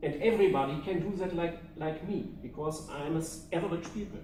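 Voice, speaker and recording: In a German accent, the speaker moves at a fairly slow pace with ordinary pitch variation, amid audible room echo and noticeable background noise. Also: man. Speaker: public speaking club member. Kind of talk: prepared speech.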